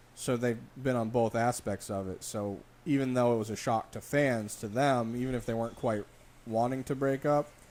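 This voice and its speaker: This is a man with a normal speaking voice and a medium pitch. He keeps a moderate pace and fairly even intonation. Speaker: wrestling podcast co-host. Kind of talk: casual chat.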